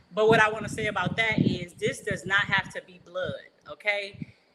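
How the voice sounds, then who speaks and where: A woman speaks in an animated way at a medium pitch, with noticeable background noise. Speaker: livestream host and motivational speaker. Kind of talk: casual livestream talk. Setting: live stream. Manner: loud.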